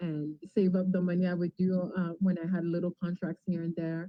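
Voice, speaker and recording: With a French accent, a woman speaks in a fairly low pitch and a monotone, flat intonation. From Ontario, Franco-Ontarian. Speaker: TV and radio host. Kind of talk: interview.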